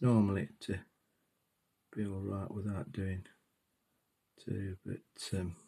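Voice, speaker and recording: Soft-spoken and somewhat breathy, a man with a British accent talks fairly slowly at a fairly low pitch, his dark, mellow tone set on fairly even intonation with long, frequent pauses. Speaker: miniature painting hobbyist. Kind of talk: tutorial.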